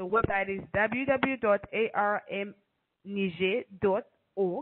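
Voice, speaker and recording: A woman with a normal speaking voice, medium in pitch, with ordinary pitch variation. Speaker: telecom compliance company director. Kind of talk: webinar presentation. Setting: video call.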